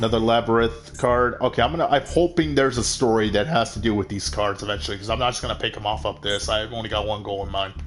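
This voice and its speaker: Talking very fast with hardly any pauses, a man at a medium pitch uses lively intonation over noticeable background noise. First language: Spanish. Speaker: gaming streamer. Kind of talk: live gameplay commentary. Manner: casual, hesitant with many fillers.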